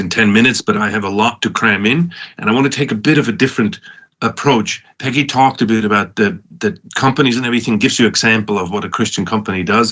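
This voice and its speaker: With a Swiss accent, a man of medium pitch talks at a very fast pace in a bright, sharp tone with ordinary pitch variation. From Switzerland, Lucerne area. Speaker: professor and entrepreneur. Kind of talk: conference talk. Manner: halting, many restarts.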